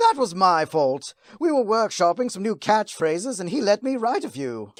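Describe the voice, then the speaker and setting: The speaker uses a put-on character voice at a moderate pace. Its pitch is fairly high. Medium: solo performance. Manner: mocking, playful menace.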